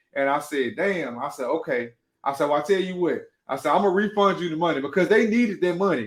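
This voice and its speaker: A loud, animated man at a high pitch and very fast pace. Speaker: podcast host and cake baker. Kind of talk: casual livestream monologue.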